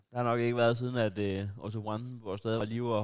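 A man speaks in a flat monotone at medium pitch and a moderate pace. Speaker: podcast host. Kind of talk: casual banter. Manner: rambling, halting, joking.

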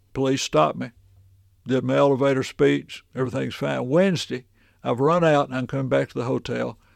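The speaker is a man with a Tennessee accent. He talks at a fairly quick pace. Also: quiet background. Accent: Southern US (Tennessee). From Middle Tennessee. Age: 70s. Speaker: minister and ventriloquist. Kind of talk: casual interview storytelling.

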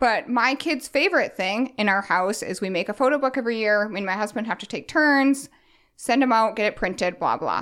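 On a very clean recording with a silent background, a woman with a plain, everyday voice talks at a fairly quick pace and a fairly high pitch. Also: lively intonation. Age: 30s. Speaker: minimalism and organizing business owner. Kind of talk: casual chat.

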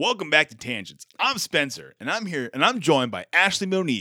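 In a put-on character voice, a man talks at a fairly quick pace and fairly high pitch, with big pitch swings. The tone is bright and sharp, and the recording is very clean with a silent background.

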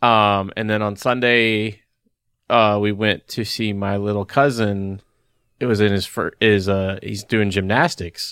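A man's fairly low voice, fairly slow and fairly even in intonation. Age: 30s. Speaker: podcast co-host. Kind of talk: casual chat. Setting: online call. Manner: halting.

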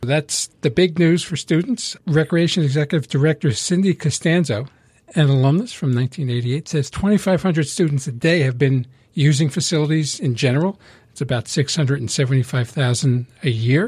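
A man speaks at a fairly quick pace, somewhat breathy and fairly high-pitched. His pitch varies in an ordinary way, in a very clean recording with a silent background. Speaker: co-host and radio DJ. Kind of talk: casual chat. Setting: studio.

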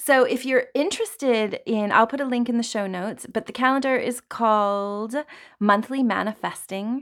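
Speaking in a plain, everyday voice, a woman has a fairly high pitch and fairly even intonation at a moderate pace. The recording is very clean, with a silent background. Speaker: astrologer podcast host. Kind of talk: solo podcast monologue on astrology. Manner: casual, filler-heavy.

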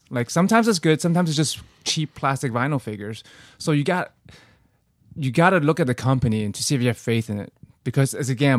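A man speaks very fast with lively intonation, yet with long, frequent pauses. The sound is dry and close with no echo, in a very clean recording with a silent background. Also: medium pitch for a man. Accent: non-native. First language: not English. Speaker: podcaster. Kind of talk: casual chat.

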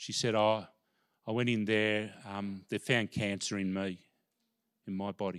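With an Australian accent, a man talks at a fairly slow pace in a monotone, flat intonation, leaving long, frequent pauses, in a very clean recording with a silent background. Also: fairly low pitch for a man. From Australia, Melbourne. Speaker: pastor and former sports chaplain. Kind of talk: sermon. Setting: church.

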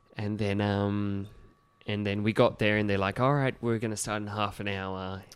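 Man in an Australian accent, fairly low-pitched and monotone, flat in intonation, moderate pace, very clean recording with a silent background. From regional New South Wales, Australia. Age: 30s. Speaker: kids' party entertainer. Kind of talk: casual chat. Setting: studio.

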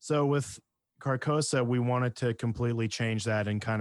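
A man in a plain, everyday voice speaks at a moderate pace, recorded very clean with a silent background and a dry, close sound with no echo. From Canada, interior British Columbia. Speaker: metal band vocalist and bassist. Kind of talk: casual interview chat.

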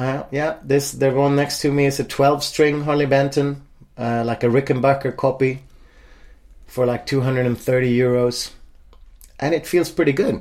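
In a Swedish accent, a man speaks fairly slowly at a fairly high pitch with monotone, flat intonation. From Sweden, Stockholm suburb. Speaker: singer-songwriter. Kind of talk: casual interview. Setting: at home.

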